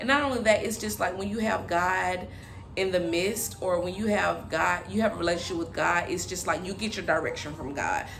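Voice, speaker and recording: A woman talks at a fairly quick clip. Noticeable background noise and audible room echo surround her voice. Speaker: relationship vlogger. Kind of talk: casual vlog monologue. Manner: loud, bubbly; halting with many fillers.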